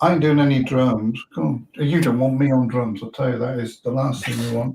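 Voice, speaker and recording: This man has an ordinary speaking voice, pitched in the medium range, and talks at a fairly quick pace. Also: ordinary pitch variation. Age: 60s. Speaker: motorcycle vlogger and hobby guitarist. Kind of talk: casual chat.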